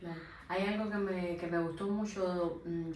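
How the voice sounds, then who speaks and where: Against noticeable background noise, a woman with a fairly low pitch speaks with fairly even intonation. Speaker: interviewer, channel host. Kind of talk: interview questions. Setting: theatre dressing room.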